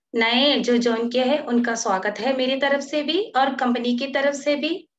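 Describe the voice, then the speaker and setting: A woman with a non-native accent, high-pitched, with fairly even intonation. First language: not Hindi (speaking Hindi). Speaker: network marketing presenter. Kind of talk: sales pitch. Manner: halting, frequent fillers.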